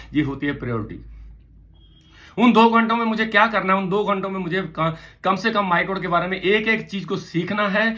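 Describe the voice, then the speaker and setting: A man's raised, projected voice, high-pitched with a bright, sharp tone, animated, with ordinary pitch variation and audible room echo. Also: moderate pace. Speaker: motivational trainer. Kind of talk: motivational talk.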